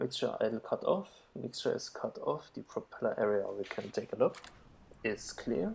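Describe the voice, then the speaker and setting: A man mumbles. His pace is moderate. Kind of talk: flight sim tutorial commentary. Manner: mumbling.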